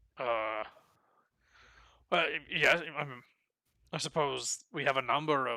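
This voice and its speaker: Very clean recording with a silent background. A put-on character voice speaks at a moderate pace with a low-to-middle pitch. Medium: actual play. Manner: hesitant, fumbling formal speech.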